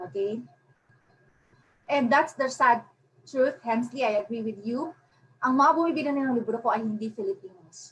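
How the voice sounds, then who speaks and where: Long, frequent pauses break up a woman's high-pitched speech, which has ordinary pitch variation. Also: moderate pace. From Philippines. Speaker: self-published author. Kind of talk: webinar presentation. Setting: online webinar. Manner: Taglish code-switching.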